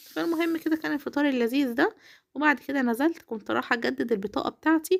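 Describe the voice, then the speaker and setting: Her pitch swinging very widely, a woman talks at a fairly quick pace in a very clean recording with a silent background. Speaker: home vlogger, housewife and mother. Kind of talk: casual vlog narration.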